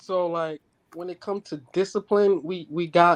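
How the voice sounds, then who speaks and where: Speaking in a New York accent, a man with a high pitch keeps a monotone, flat intonation at a moderate pace, the sound dry and close with no echo and the background quiet. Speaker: father on a talk show. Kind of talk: casual chat.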